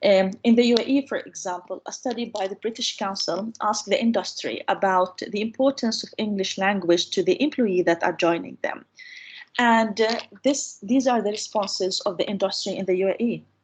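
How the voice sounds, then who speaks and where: With an Arabic accent, a woman talks at a moderate pace in a fairly high, somewhat breathy voice with ordinary pitch variation. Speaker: university lecturer on English teaching. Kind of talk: online lecture.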